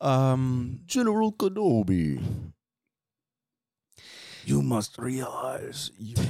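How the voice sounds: A put-on character voice with a Russian accent speaks at a very slow pace, pitched low to middle. Long pauses come often.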